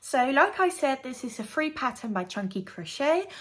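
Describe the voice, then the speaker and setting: The speaker moves at a fairly slow pace with very wide pitch swings. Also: woman. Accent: non-native. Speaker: crafting and true crime YouTuber. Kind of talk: casual vlog tutorial.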